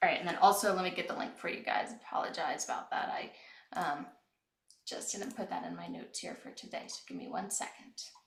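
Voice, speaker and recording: A woman whispering at a fairly quick pace, with big swings in loudness and audible room echo. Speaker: webinar host, product manager. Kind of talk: webinar presentation. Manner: soft-spoken; hesitant, many fillers.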